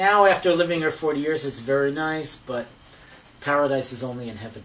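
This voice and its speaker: Over noticeable background noise, a man with an American accent speaks at a fairly high pitch, his loudness swinging widely. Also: ordinary pitch variation, fairly quick pace. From New Jersey, near New York City. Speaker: psychologist, therapist. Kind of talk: interview. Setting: therapist's office.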